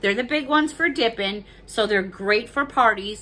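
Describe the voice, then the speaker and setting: A woman speaks loudly with lively intonation. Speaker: YouTube haul vlogger. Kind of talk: casual chat.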